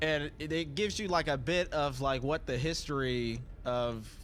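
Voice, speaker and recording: A man at medium pitch with ordinary pitch variation and a fairly slow pace, with audible room echo. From Southeast Ohio, US. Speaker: game streamer. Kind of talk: casual live-stream commentary. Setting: live stream while gaming. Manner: halting, many fillers.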